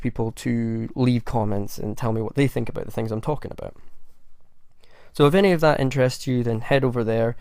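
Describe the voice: This man's voice is gruff. Vocal fry runs through it. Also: slightly mellow tone.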